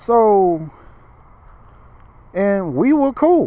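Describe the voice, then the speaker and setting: Lively intonation marks a man speaking in an American accent. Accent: Southern accent, it fluctuates. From Memphis, Tennessee, US South. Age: 30s. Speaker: vlogger. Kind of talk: casual monologue vlog. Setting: outdoors in a park at night. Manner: conversational, repetitive.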